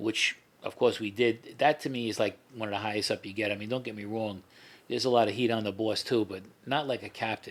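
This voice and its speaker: Talking at a very fast pace, a man with a New York accent keeps a medium pitch and fairly even intonation. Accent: heavy New York. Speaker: former mob associate and FBI informant. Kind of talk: interview. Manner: repetitive, informal.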